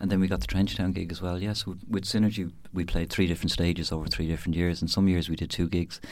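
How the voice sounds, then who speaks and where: A man with a Dublin accent and a very deep, low pitch, at a very fast pace with fairly even intonation, in a very clean recording with a silent background. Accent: Dublin Irish. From Dublin, Ireland. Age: 50s. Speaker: musician and radio presenter. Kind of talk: casual interview.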